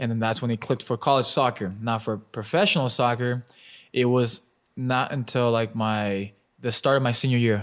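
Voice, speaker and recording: A man with an American accent and a plain, everyday voice, at a moderate pace with fairly even intonation, in a very clean recording with a silent background. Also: medium pitch for a man. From Albuquerque, New Mexico, US. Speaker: professional soccer player. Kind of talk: casual chat.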